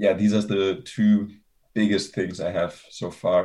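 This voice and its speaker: Fairly low-pitched man in a German accent, at a fairly slow pace. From Germany. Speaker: university student. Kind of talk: interview. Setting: video call.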